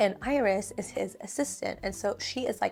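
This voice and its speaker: This woman is soft-spoken, with ordinary pitch variation. The recording is very clean, the background silent. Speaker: book reviewer. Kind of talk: casual talk to camera.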